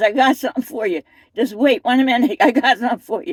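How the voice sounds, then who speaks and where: A woman with a Philadelphia accent speaks in an animated tone at high pitch, with a dry, close sound and no echo. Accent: Philadelphia-area American. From US Northeast, Camden, New Jersey. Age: 60s. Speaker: interviewee sharing life story. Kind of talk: casual interview testimony.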